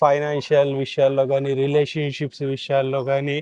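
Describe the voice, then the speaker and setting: In a normal speaking voice, a man talks at a fairly high pitch, the sound dry and close with no echo. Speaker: podcast host. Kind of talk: podcast intro.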